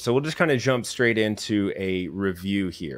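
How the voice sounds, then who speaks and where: A man with an ordinary speaking voice talks at a fairly slow pace in a fairly low pitch, with ordinary pitch variation. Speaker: livestream host. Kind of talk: lecture-style commentary. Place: home room. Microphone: studio mic.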